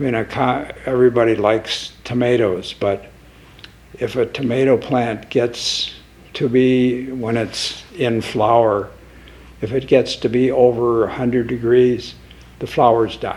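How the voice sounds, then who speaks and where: A man's medium-pitched, monotone, flat delivery at a fairly slow pace, with noticeable background noise. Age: 80s+. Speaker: volunteer nonprofit founder. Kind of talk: interview. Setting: studio.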